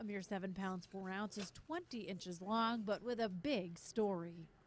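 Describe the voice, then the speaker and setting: A woman with a normal speaking voice, medium pitch, and a fairly slow pace. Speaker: news anchor / reporter. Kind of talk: TV news anchor read.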